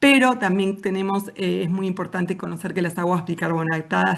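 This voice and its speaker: A woman of medium pitch talks at a fairly quick pace with an Argentine accent against a quiet background. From Argentina, Patagonia (Neuquén). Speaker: physician, thermal medicine expert. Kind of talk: conference talk. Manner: hesitant, many fillers.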